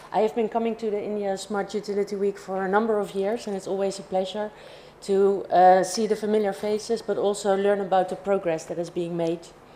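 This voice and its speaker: A woman speaks fairly quickly with a Dutch accent, her medium-pitched voice flat and monotone over noticeable background noise. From Netherlands. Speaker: industry alliance director. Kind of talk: conference presentation.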